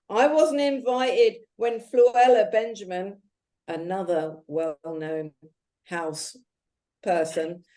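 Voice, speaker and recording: In a London accent, a woman speaks at a very slow pace with lively intonation. Her tone is dark and mellow. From London, England (arrived from Jamaica aged five). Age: 60s. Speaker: activist and author. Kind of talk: interview. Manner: animated.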